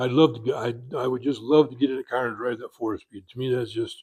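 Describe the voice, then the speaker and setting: Fairly quick, somewhat breathy speech with fairly even intonation. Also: man. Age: 80s+. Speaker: car owner and enthusiast. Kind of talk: interview. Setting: convention. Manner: halting.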